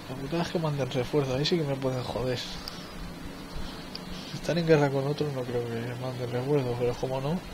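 With a Spanish accent, a man talks at a moderate pace and a medium pitch with hardly any pauses and fairly even intonation, amid audible room echo and noticeable background noise. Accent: Peninsular Spanish. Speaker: gaming video creator. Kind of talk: let's play commentary. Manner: casual, thinking aloud.

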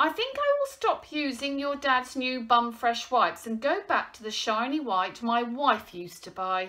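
The speaker uses a put-on character voice with a bright, sharp tone. It has big pitch swings at a fairly slow pace. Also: woman, high pitch for a woman.

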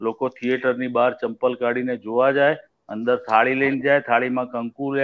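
Over a quiet background, a man speaks in a monotone, flat intonation. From Gujarat, India. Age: 60s. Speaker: music director; guest. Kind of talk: casual interview. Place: home room. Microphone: video call.

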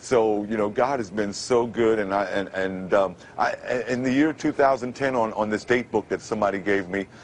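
Fairly low-pitched man with an American accent amid noticeable background noise. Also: ordinary pitch variation, moderate pace. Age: 50s. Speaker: formerly homeless man with a radio announcer voice. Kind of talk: interview answer.

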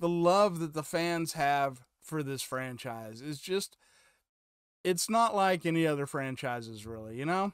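Over a quiet background, a man speaks with a high pitch. His pace is fairly slow, and the sound is dry with no echo. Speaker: reaction video host. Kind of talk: casual vlog chat. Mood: enthusiastic. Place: home room. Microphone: studio mic.

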